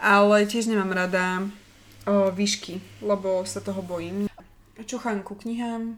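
Monotone, flat intonation runs through a woman's medium-pitched speech. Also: fairly slow pace. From Slovakia, Hlohovec. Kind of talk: casual chat.

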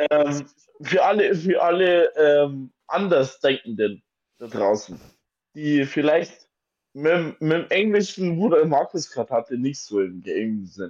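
This man's voice sits fairly high and swings very widely in pitch. He talks at a very slow pace. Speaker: podcast co-host. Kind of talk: casual chat. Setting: home attic room.

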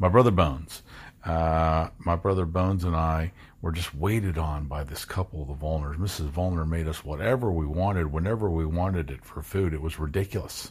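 Speaking at a fairly quick pace with an American accent, a man uses a very deep, low pitch, ordinary pitch variation and a somewhat breathy delivery. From Kentucky, US. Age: 40s. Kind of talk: personal storytelling. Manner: halting.

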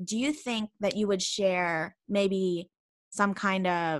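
Here a woman speaks with a Canadian accent in a bright, sharp tone at medium pitch. Her pitch varies normally, and the recording is very clean with a silent background. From Canada. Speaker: podcast host and language assistant. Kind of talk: casual chat.

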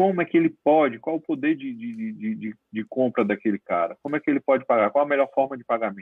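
With lively intonation, a man at a medium pitch talks at a fairly quick pace. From Paraíba, northeastern Brazil. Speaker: legal management consultant. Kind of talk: interview conversation. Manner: halting, with frequent fillers.

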